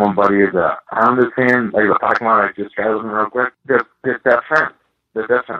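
In an ordinary speaking voice, a man with an American accent talks at a medium pitch with fairly even intonation. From Boston area, Massachusetts. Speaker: former pro hockey player and scout. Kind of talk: interview.

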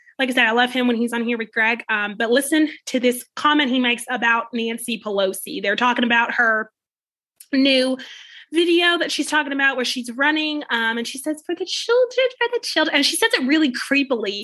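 A woman speaks at a high pitch in a raised, projected voice with a bright, sharp tone, ordinary pitch variation, and a fairly quick pace. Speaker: podcast host. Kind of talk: casual commentary. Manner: hesitant, filler-heavy.

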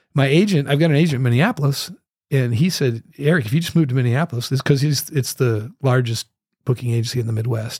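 Very fast, somewhat breathy speech in an American accent, at very even loudness, with a dry, close sound and no echo. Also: man, medium pitch for a man, ordinary pitch variation. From US Northwest, Moscow, Idaho. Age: 60s. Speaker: professional musician. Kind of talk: casual chat. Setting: studio.

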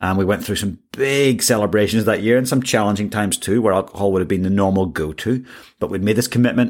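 This man speaks at a very fast pace with an Irish accent. His pitch varies in an ordinary way. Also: fairly low pitch for a man, very clean recording, silent background. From Ireland. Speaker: executive coach, podcast host. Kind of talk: solo monologue.

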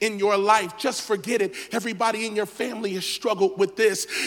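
Fairly even intonation from someone reading aloud in a natural voice

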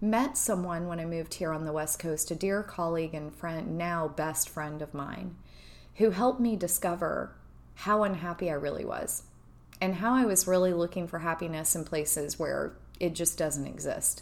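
A woman talks at a moderate pace in a fairly low voice with vocal fry. Her pitch varies in an ordinary way. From Kentucky. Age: 40s. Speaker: podcast host. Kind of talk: personal monologue. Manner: hesitant with fillers.

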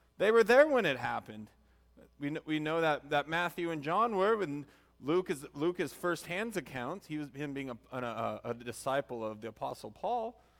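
A man's fairly high voice at a moderate pace with very wide pitch swings, on a very clean recording over a silent background. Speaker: pastor. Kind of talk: sermon. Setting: church. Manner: loud; halting.

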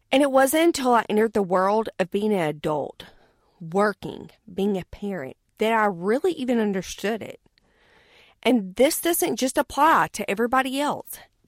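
A woman with a Southern US accent speaks at a fairly high pitch with very wide pitch swings. The recording is very clean, with a silent background and a dry, close sound with no echo. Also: moderate pace. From US South. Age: 30s. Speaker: podcast co-host, businesswoman. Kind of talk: personal monologue.

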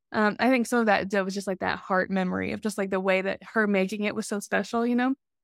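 Very fast speech comes from a woman with an American accent and a medium pitch. Her intonation is monotone and flat, in a very clean recording with a silent background. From Alabama, US South. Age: 30s. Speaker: podcast co-host. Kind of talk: casual interview chat.

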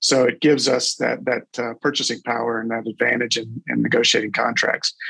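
A man talks with vocal fry and monotone, flat intonation. The sound is dry and close, with no echo. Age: 50s. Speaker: corporate executive and roofing franchise owner. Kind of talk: casual interview.

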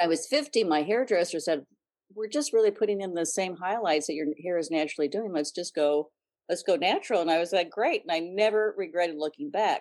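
With lively intonation, an ordinary speaking voice goes along at a fairly quick pace. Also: woman, fairly low pitch for a woman. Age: 60s. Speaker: style blogger. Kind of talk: interview.

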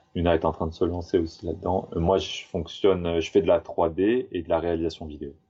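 A man speaks in a very deep, low pitch, somewhat breathy and monotone with flat intonation. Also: fairly quick pace, hardly any pauses. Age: 30s. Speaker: tiny house builder, 3D graphic artist. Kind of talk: casual interview chat.

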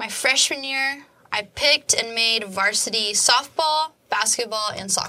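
The speaker has an American accent and ordinary pitch variation. The pace is fairly slow. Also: woman. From Oklahoma (Edmond). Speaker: college soccer goalkeeper. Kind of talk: casual interview.

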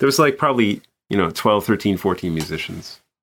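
The recording is very clean, and the background is silent. A man talks in an American accent. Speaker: orchestral bass trombonist. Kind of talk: casual interview.

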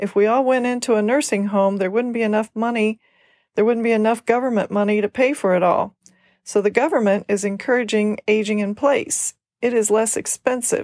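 In a very clean recording with a silent background and a dry, close sound with no echo, a woman with a normal speaking voice talks at a fairly high pitch and a moderate pace. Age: 60s. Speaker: podcast host, senior care business owner. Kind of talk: scripted monologue.

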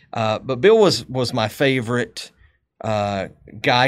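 A fairly slow pace in a Texas accent. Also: man. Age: 50s. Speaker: podcast host. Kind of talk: casual chat. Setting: studio.

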